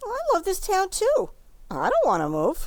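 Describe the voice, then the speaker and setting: In a squeaky, put-on character voice, a woman talks at a moderate pace with an extremely high pitch. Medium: stage play.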